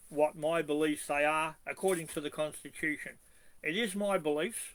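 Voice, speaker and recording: With an Australian accent, a man talks at a moderate pace, his fairly high pitch held to fairly even intonation. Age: 70s. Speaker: constitutional activist. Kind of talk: video monologue.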